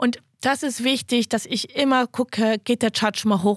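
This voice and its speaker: A woman speaks in a high pitch. The sound is dry and close with no echo, on a very clean recording with a silent background. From western Germany (Wuppertal). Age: 30s. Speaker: investor and finance podcaster. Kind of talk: casual interview. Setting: studio.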